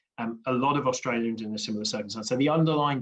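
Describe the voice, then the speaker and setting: A man with a British accent. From UK. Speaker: infrastructure industry panelist. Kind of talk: panel discussion.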